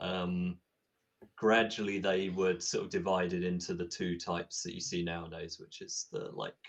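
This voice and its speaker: With an English accent, a man speaks at a moderate pace in a very deep, low pitch and a monotone, flat intonation. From England. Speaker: tabletop game designer. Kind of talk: interview. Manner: hesitant, many fillers.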